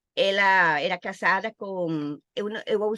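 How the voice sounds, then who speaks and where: A woman at a medium pitch speaks with lively intonation and a bright, sharp tone. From Costa Rica. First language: Spanish (speaking Portuguese). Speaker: Portuguese teacher. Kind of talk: interview. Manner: halting.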